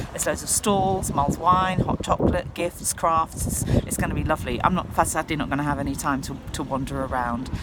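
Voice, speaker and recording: In a southern English accent, a woman talks at a fairly quick pace, her pitch very deep and low. Her pitch variation is ordinary, and noticeable background noise is present. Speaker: choir leader. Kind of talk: casual vlog monologue. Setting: outdoors on a kayak under a pontoon.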